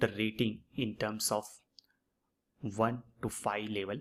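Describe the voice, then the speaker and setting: The speaker has a plain, everyday voice. The delivery is fairly slow, with fairly even intonation. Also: man. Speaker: online course instructor. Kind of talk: tutorial.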